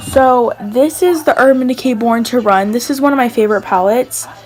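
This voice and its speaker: With music in the background, a woman talks at a moderate pace in a high pitch with ordinary pitch variation. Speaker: beauty vlogger. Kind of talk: makeup collection tutorial. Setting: voiceover at home. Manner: casual, chatty with fillers.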